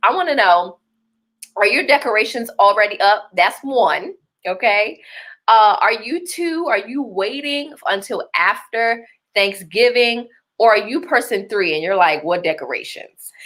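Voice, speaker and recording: A woman with a Baltimore accent speaks at a moderate pace and a fairly high pitch, her tone bright and sharp. She sounds animated, with very wide pitch swings. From Baltimore, Maryland. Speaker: livestream host and business coach. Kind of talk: live-streamed masterclass talk. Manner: animated, conversational.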